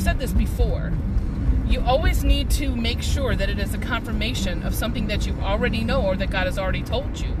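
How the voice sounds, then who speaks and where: The man's voice is dry with no echo, yet loud background noise fills the clip. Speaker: vlogger sharing faith reflections. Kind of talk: casual vlog chat. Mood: reflective, earnest. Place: car. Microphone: phone near.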